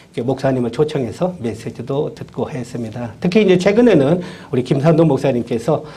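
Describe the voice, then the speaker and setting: Lively intonation marks a man's fairly high-pitched voice, delivered at a moderate pace. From Korea, Chungcheong (Nonsan). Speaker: university professor. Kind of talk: lecture. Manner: hesitant, many fillers.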